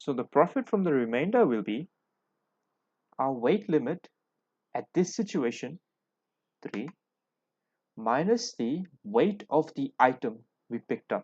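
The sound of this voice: At a fairly slow pace, a man with a medium pitch, a slightly husky edge and a slightly mellow tone makes big pitch swings and takes long, frequent pauses, in a dry, close sound with no echo.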